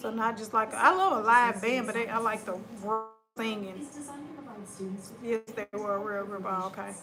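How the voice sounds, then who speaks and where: A woman with a Southern US accent speaks at a moderate pace, her pitch fairly high and intonation fairly even. Her loudness swings widely, long pauses come often, and music plays in the background. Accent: country, US South. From West Tennessee. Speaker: live streamer. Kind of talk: casual chat. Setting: livestream.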